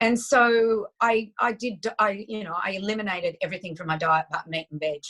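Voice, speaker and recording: A woman with an Australian accent speaks at a moderate pace, and the sound is dry and close with no echo. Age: 60s. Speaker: nutritionist. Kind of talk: interview. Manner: animated.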